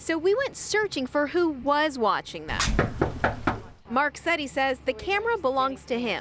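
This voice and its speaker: Through noticeable background noise, a woman speaks at a moderate pace with a high pitch, very wide pitch swings and very even loudness. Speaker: television news reporter. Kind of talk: TV news reporter delivery, live stand-ups and packages.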